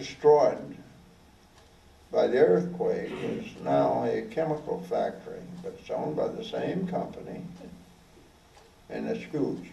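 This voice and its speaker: A man speaking in an American accent goes fairly slowly, with noticeable noise in the background. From Oklahoma. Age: 80s+. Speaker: war veteran. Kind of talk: talk to an audience.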